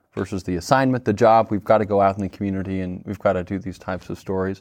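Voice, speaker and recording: Very fast speech from a man. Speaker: television reporter. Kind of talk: panel discussion. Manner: halting, many fillers.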